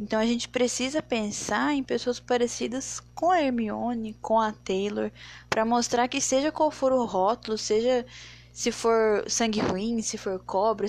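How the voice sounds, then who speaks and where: A woman's fairly high, unremarkable speaking voice at a fairly slow pace, with ordinary pitch variation. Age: 20s. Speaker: podcaster. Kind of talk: solo podcast monologue.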